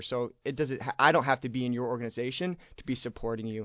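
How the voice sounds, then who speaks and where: A man with a medium-pitched voice and an American accent, a normal speaking voice at a fairly quick pace with fairly even intonation. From Michigan. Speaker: student leader. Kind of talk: interview. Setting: studio.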